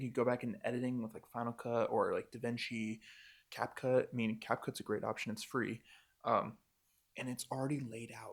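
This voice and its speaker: A man speaks with an American accent at a fairly quick pace. He has a normal speaking voice. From Montana, USA. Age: 20s. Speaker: wedding filmmaker. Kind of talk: casual talk to camera. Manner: casual, upbeat.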